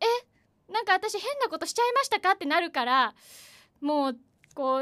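Extremely high and bright with a sharp tone, a woman's voice swings very widely in pitch at a fairly quick pace. The recording is very clean, with a silent background and a dry, close sound with no echo. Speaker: announcing student. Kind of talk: casual chat.

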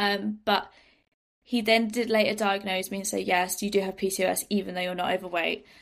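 A woman with a British accent, medium pitch, and flat, monotone intonation, speaking fairly quickly. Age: 20s. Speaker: personal development entrepreneur. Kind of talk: interview.

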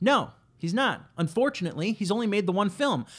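Recorded very cleanly against a silent background, a man talks at a moderate pace with lively intonation. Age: 30s. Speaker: podcast host. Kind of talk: comedic monologue. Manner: sarcastic.

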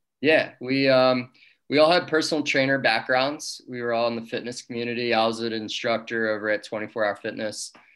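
A plain, everyday voice from a man at medium pitch, fairly quick and fairly even in intonation, on a very clean recording with a silent background. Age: 30s. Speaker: business owner. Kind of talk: casual interview.

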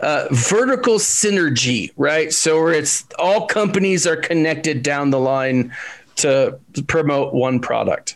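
A man with a fairly high pitch speaks at a fairly slow pace. His intonation is lively, and his loudness stays very even. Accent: Texan. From Texas. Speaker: gaming YouTuber. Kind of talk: casual chat.

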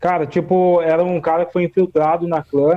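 The speaker uses a São Paulo interior accent, talking at a moderate pace with monotone, flat intonation. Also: man. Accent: caipira accent from São Paulo interior. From Brazil, Vale do Paraíba (São Paulo interior). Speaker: writer and podcaster. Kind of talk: casual discussion about racism. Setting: remote call via Discord. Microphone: phone earphone mic, odd audio feedback.

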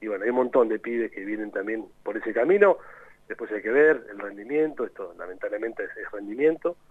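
A man with an ordinary speaking voice at medium pitch, lively intonation, big swings in loudness and a fairly quick pace. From Argentina, Tandil (Buenos Aires province). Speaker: youth national team coordinator, former footballer. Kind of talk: radio interview.

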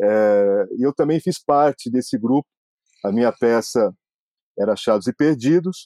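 Speaking fairly slowly with long, frequent pauses, a man uses lively intonation at a medium pitch, his tone dark and mellow and his loudness very even. The recording is very clean with a silent background, dry and close with no echo. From Brazil, Bauru (São Paulo state). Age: 50s. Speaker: sports journalist and biographer. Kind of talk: interview.

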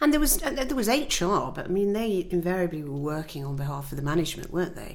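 Very fast speech from a woman at a fairly low pitch, with very wide pitch swings and noticeable background noise. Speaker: podcast co-host, former journalist. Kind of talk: casual chat between old friends. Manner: animated, laughing, jokey.

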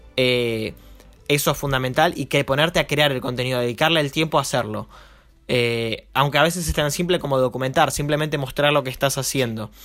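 A man talks in an ordinary speaking voice, fairly high in pitch, at a fairly quick pace with fairly even intonation. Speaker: marketing podcast host and entrepreneur. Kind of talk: casual chat.

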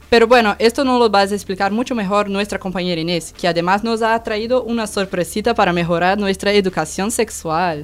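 Speaking at a fairly quick pace with hardly any pauses, a woman has a Portuguese accent. Her medium pitch shows ordinary variation. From Brazil. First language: Portuguese (speaking Spanish). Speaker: student radio presenter. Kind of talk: scripted news presentation.

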